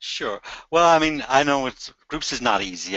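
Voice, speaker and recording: A man with an Irish accent. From Ireland. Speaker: travel company group sales head. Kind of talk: interview.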